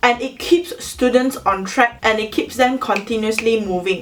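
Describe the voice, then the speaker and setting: A high-pitched woman at a moderate pace amid noticeable background noise. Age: 20s. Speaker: university student. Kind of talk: educational talk to camera.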